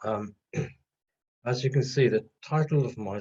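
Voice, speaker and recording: A man speaks at a fairly slow pace in a somewhat breathy voice. His pitch variation is ordinary. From Trinidad. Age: 60s. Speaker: retired doctor, local history speaker. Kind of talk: illustrated history talk.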